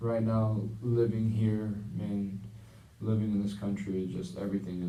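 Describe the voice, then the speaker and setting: Through audible room echo comes a man's dark, mellow voice at a fairly low pitch. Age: 20s. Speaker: counseling client in a practice session. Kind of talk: role-played counseling session. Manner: halting, many fillers.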